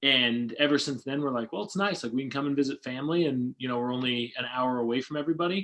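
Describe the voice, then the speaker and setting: A man with an American accent talks at a very fast pace with hardly any pauses. His pitch is medium, and its variation is ordinary. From Utah (Sandy, south of Salt Lake City). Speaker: door-to-door sales leader. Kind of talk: casual interview chat.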